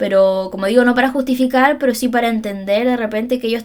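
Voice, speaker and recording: Her pitch varies in an ordinary way as this woman talks at a fairly quick pace. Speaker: psychologist and podcast host. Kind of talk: solo podcast monologue. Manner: fast.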